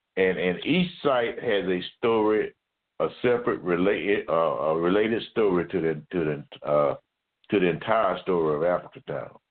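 A man's voice in an Alabama accent at a moderate pace, with very even loudness. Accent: Southern US (Alabama). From US South, Mobile, Alabama. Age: 70s. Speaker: retired military officer and community historian. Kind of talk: interview.

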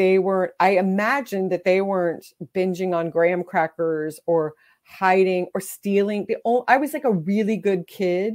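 A woman with an American accent, a normal speaking voice, medium pitch, ordinary pitch variation and a moderate pace, on a very clean recording with a silent background. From Texas. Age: 40s. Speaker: memoir author. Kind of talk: interview.

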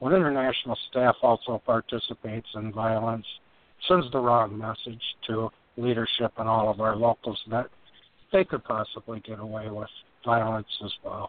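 A man speaks at medium pitch and a moderate pace in an ordinary speaking voice. His pitch variation is ordinary, while his loudness swings widely. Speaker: co-host.

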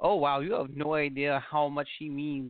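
Here is an ordinary speaking voice from a man with a fairly high pitch. He talks at a moderate pace. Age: 40s. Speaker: podcast host. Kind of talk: casual interview chat.

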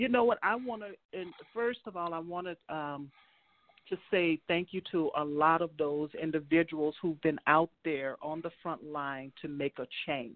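An American accent marks this woman's ordinary speaking voice, fairly low in pitch with ordinary pitch variation, at a fairly slow pace. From US South, New Orleans, Louisiana. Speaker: state legislator. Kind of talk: casual conversational interview.

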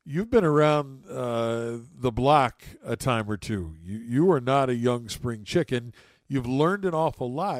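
A man with an American accent and an ordinary speaking voice speaks at a medium pitch and a fairly slow pace with lively intonation, in a very clean recording with a silent background. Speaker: podcast host. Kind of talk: interview conversation.

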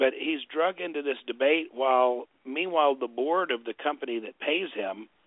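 A man's fairly high-pitched, ordinary speaking voice at a moderate pace. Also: ordinary pitch variation, hardly any pauses. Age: 50s. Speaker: documentary filmmaker. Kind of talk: interview.

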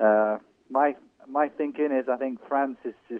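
This speaker has an English accent. The pitch varies in an ordinary way. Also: man. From England, Irish family. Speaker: college soccer coach. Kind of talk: phone-in sports interview.

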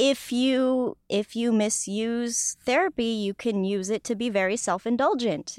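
A woman with an American accent talks at a fairly slow pace, barely pausing, in a fairly high voice with ordinary pitch variation and an unremarkable speaking voice. The sound is dry and close with no echo, on a very clean recording with a silent background. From US West, Los Angeles. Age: 20s. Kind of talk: casual interview chat.

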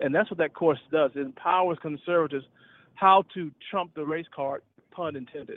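A man with a Southern US accent talks at a moderate pace in a fairly high pitch. His intonation stays fairly even while his loudness swings widely. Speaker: retired officer and public speaker. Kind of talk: casual chat. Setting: phone call.

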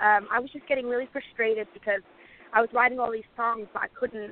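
A woman with a British accent speaks at a very fast pace. Her fairly high voice stays monotone and flat. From UK, moved from Lebanon at 8. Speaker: singer-songwriter. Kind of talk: casual interview.

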